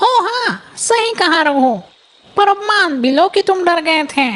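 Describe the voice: A female-sounding cartoonish character voice with an extremely high pitch speaks at a moderate pace.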